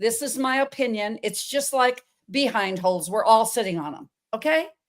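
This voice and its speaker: Moderate-paced speech from a woman, with ordinary pitch variation, in a very clean recording with a silent background. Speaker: holistic nutritionist and health coach. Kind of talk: podcast interview. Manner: animated.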